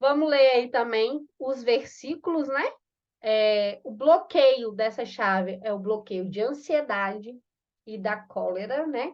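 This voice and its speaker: The speech moves at a very slow pace but carries lively intonation. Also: woman, high pitch for a woman. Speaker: course facilitator. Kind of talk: online class.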